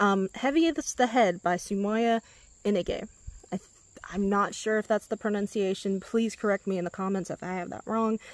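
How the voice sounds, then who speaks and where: A woman talks at a moderate pace with ordinary pitch variation. The sound is dry, with no echo. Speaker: booktuber; book vlogger. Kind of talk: casual vlog talk. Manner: unenthused. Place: garden. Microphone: phone near.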